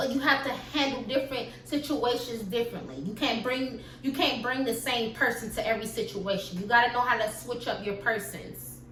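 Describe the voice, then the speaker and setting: In an animated tone, a woman speaks at a high pitch with ordinary pitch variation, amid audible room echo and noticeable background noise. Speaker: YouTuber. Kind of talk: storytime vlog. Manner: fast.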